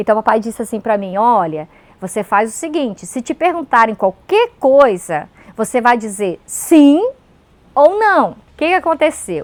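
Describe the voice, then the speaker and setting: A woman with a Pomeranian accent speaks at a high pitch and a moderate pace. Her voice makes very wide pitch swings in a dry, close sound with no echo. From Pomeranian community, Brazil. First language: Pomeranian (speaking Portuguese). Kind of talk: interview testimony.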